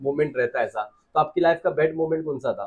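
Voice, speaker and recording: Fairly high in pitch, a man speaks with a dark, mellow tone. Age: young. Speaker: podcast interviewer. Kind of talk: interview questions.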